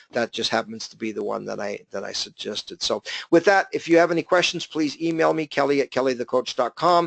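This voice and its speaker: A man with a fairly high voice speaks with lively intonation and hardly any pauses. The sound is dry and close with no echo, over a quiet background. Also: fairly quick pace. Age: 50s. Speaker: business coach. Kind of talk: webinar presentation. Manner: fast.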